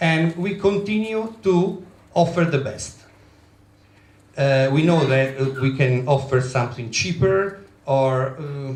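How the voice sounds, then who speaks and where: A man with an Italian accent speaks very slowly in a fairly high, somewhat breathy voice with ordinary pitch variation and long, frequent pauses, while room echo is audible. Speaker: travel business owner. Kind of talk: presentation. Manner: halting.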